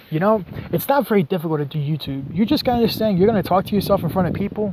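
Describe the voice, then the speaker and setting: A man's high-pitched voice at a very fast pace, over noticeable background noise. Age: 20s. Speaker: vlogger. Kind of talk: casual vlog monologue. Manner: animated.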